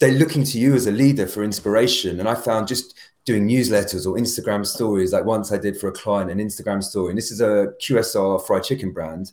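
Talking very fast with hardly any pauses, a man with a British accent uses a fairly low pitch and ordinary pitch variation. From UK. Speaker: brand and storytelling coach. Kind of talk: casual interview chat.

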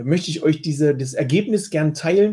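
At a moderate pace, a man with a slight eastern German accent speaks in a somewhat breathy, dark, mellow tone, fairly high in pitch with ordinary pitch variation. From eastern Germany. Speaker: health coach podcast host. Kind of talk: solo podcast answering listener questions. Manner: casual, conversational.

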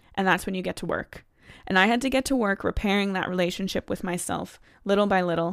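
A woman with an American accent talks very fast at a medium pitch. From United States. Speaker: consumer psychologist and coach. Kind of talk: podcast monologue, coaching talk. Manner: animated, enthusiastic.

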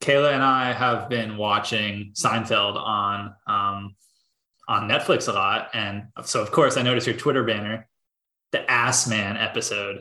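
A man speaks at a fairly slow pace, his medium-pitched voice bright and sharp in tone with fairly even intonation. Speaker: podcast co-host.

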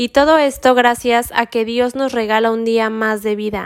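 A woman with a plain, everyday voice talks at a fairly slow pace and a fairly high pitch, her intonation fairly even. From Mexico. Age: 20s. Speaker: religious podcast host. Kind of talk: scripted spiritual monologue.

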